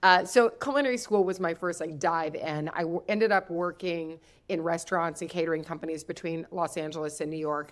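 A woman with an American accent has a plain, everyday voice and ordinary pitch variation. The recording is very clean, with a silent background. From US Midwest (Kentucky roots). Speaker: cookbook author and food entrepreneur. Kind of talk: interview podcast.

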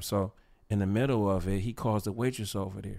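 The recording is very clean, with a silent background. A man with a fairly low pitch speaks with fairly even intonation. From US Midwest, East Cleveland, Ohio. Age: 50s. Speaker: podcast co-host, teacher. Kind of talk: casual chat.

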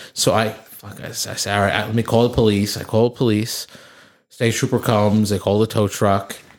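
In a New Jersey accent, a man talks at a fairly quick pace. His fairly low voice stays monotone and flat. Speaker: podcast co-host. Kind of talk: casual chat.

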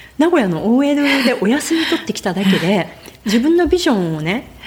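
Very wide pitch swings from a woman over noticeable background noise. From Japan. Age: 50s. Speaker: author and naturalist. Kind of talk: interview.

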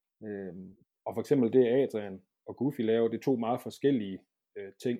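A man at medium pitch and moderate pace has an ordinary speaking voice. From southern Jutland, Denmark. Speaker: football goalkeeper coach. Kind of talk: casual interview.

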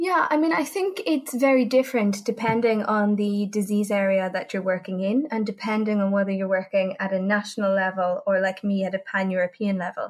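A woman speaks in an ordinary speaking voice at a medium pitch, with ordinary pitch variation. Her pace is fairly quick, with hardly any pauses. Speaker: patient advocacy organisation leader. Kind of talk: interview.

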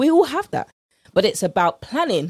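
A woman with a British accent, upbeat tone and dark, mellow timbre, very wide pitch swings, a fairly quick pace and a dry, close sound with no echo. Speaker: podcast host, nutrition coach. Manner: fast talker; upbeat, chatty, informal.

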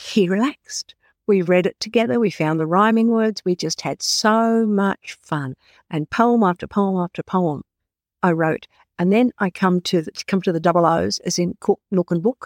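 A woman with an Australian accent at a medium pitch and moderate pace, with ordinary pitch variation, in a very clean recording with a silent background and a dry, close sound with no echo. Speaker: author and literacy specialist. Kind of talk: interview answers, storytelling.

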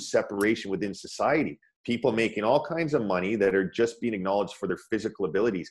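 In a Canadian accent, a man uses an ordinary speaking voice of medium pitch with lively intonation, set against a quiet background. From Ontario, Canada (Scarborough/Pickering, Toronto area). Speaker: former pro ice hockey player, meditation teacher. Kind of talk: interview, personal story.

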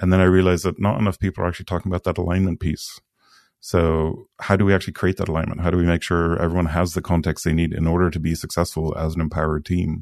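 A man's very deep, low voice at a very fast pace, with monotone, flat intonation, a dry, close sound with no echo and a quiet background. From Sweden. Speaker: product leader and community co-founder. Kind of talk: casual interview conversation.

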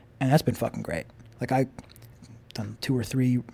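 A man is speaking. He has a New York accent. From Long Island, New York. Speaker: camera car company owner and stunt driver. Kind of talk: casual chat.

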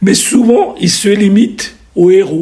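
A man speaks with a high voice. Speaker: surgeon and historical novelist. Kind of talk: radio interview.

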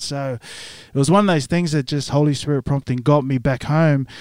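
Recorded dry and close with no echo, a man with a New Zealand accent talks at a moderate pace and a fairly high pitch. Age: 30s. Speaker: church member, singer, former rugby player. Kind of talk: testimony interview. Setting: podcast studio.

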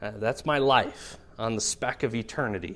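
A man with a normal speaking voice, fairly slow pace and lively intonation, on a very clean recording with a silent background. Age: 30s. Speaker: pastor. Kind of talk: sermon.

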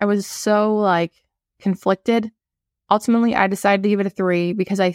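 A woman speaks in an ordinary speaking voice at a medium pitch and a moderate pace, her intonation fairly even. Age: 20s. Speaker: podcast co-host, financial planning. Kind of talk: casual chat.

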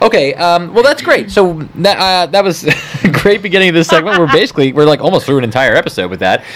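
A man's high-pitched, very fast speech with lively intonation over noticeable background noise. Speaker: podcast host. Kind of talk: casual chat.

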